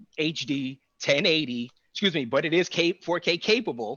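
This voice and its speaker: A man with a New York accent, animated in tone, at a moderate pace with ordinary pitch variation. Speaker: AV integration business owner. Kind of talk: panel discussion.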